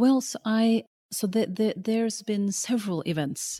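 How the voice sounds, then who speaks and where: This is a woman's voice. Her tone is dark and mellow. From Norway (Oslo), Pakistani-Afghan family. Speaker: documentary filmmaker. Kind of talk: interview conversation. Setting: remote call over the internet. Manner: repetitive, halting starts. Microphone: spotty audio, sound problems.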